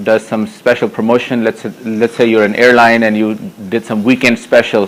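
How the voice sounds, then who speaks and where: A man speaks at a medium pitch and moderate pace with a non-native accent and flat, monotone intonation. Noticeable noise sits in the background. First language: not English. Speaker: technology evangelist giving a conference talk. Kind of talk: conference tech talk. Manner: hesitant, many fillers.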